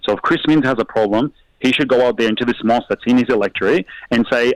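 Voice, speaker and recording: Dry and close with no echo, a man speaks at medium pitch with an Australian accent. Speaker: mayor. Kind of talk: heated debate.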